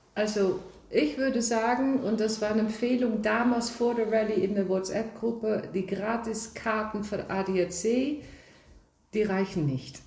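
A woman with a Dutch accent, fairly high in pitch, fairly slow in pace, with ordinary pitch variation, very even loudness and audible room echo. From Netherlands. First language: Dutch (speaking German). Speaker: rally driver. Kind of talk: casual chat. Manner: halting.

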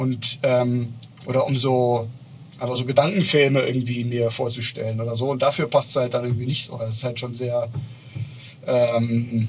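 A man talks at a moderate pace and medium pitch, with noticeable background noise. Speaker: podcast co-host. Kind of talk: casual chat. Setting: on-location outdoor recording.

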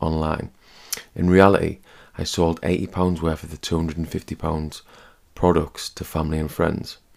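This man has a very deep, low pitch and a British accent. He speaks at a moderate pace in a monotone, flat intonation. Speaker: personal finance podcaster. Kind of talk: scripted narration.

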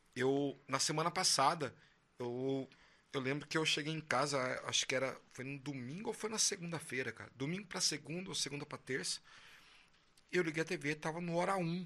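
With long, frequent pauses, a man talks at a moderate pace in a fairly high voice with ordinary pitch variation. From Brazil, São José dos Campos. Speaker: podcast host, musician. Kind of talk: casual chat.

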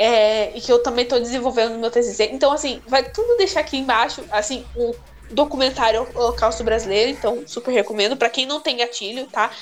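A woman talks at a very fast pace in a high pitch, with ordinary pitch variation and hardly any pauses. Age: 20s. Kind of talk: casual chat.

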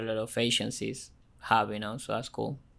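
A man's medium-pitched voice with an Argentine accent, monotone and flat in intonation at a moderate pace, on a very clean recording with a silent background. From Argentina. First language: Spanish. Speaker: marketing automation business owner. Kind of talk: casual interview chat.

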